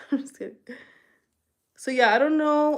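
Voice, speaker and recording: A woman with a slight Spanish accent, animated in tone. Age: 30s. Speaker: beauty livestreamer. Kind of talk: casual live-stream chat. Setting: live stream.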